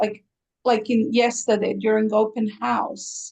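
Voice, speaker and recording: A woman with a Croatian accent, fairly high in pitch, with vocal fry and a fairly slow pace. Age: 60s. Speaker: aesthetician, spa owner. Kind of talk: interview.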